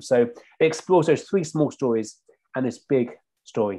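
In a London accent, a man speaks with a dark, mellow tone over a quiet background. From South London. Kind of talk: casual chat. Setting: video call. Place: home room.

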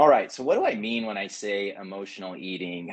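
Over a quiet background, a man with a fairly low pitch speaks at a fairly quick pace in an American accent. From Oklahoma, US. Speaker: clinical psychologist. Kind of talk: online lecture. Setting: video call. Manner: casual with many filler words. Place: home room. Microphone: video call.

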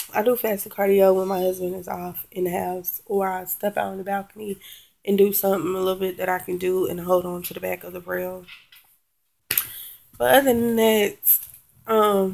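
A woman speaks at a moderate pace with long, frequent pauses. Her intonation is fairly even. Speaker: vlogger. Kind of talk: casual vlog chat. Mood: frustrated, venting. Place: home room. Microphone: webcam.

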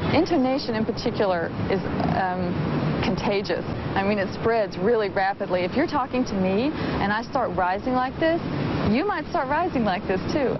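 Loud background noise behind a woman speaking at a moderate pace. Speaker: linguist. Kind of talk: interview answer. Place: garden. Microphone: lapel.

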